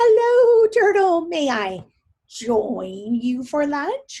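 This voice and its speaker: A woman does a put-on character voice at a very slow pace. Her high pitch swings very widely. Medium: read story.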